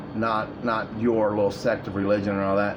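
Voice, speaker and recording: With audible room echo and noticeable background noise, a man speaks at a fairly low pitch. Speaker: video blogger. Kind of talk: casual monologue. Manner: rambling, halting.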